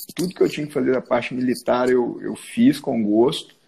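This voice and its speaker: The man's tone is dark and mellow. He talks at a moderate tempo. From Minas Gerais, Zona da Mata (Rio Pomba, Juiz de Fora). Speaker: orthopedic surgeon. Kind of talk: casual interview chat.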